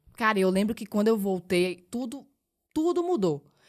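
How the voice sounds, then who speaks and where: A woman with a Pernambuco accent speaks at a fairly high pitch on a very clean recording with a silent background. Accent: Pernambuco accent, drawling. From Pernambuco, Brazil (Recife). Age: 20s. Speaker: model. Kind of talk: casual chat. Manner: spontaneous, casual.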